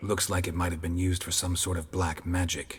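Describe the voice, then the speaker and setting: In a put-on character voice, a man growls in a very deep, low pitch with a monotone, flat intonation. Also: fairly quick pace. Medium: video game. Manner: terse, clipped, dry.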